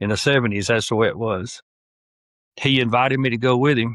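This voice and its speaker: Against a quiet background, a man with a Southern US accent and medium pitch speaks at a fairly quick pace with fairly even intonation, in a dry, close sound with no echo. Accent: Southern US (Georgia). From US South, northwest Georgia. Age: 60s. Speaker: hunter, retired sheriff's deputy. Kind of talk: casual interview.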